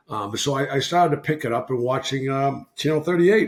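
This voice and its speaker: A man with a Boston accent at a moderate pace. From Massachusetts, Boston area. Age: 60s. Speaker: retired hockey player. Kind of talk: casual chat.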